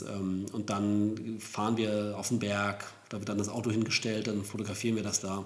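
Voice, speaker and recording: The man's voice sits fairly low and stays monotone and flat. Audible room echo surrounds it. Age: 40s. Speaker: professional photographer, podcast co-host. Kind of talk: casual chat.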